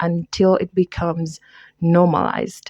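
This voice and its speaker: This woman's voice sits fairly low in pitch. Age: 20s. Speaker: podcast host. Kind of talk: personal testimony. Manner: halting.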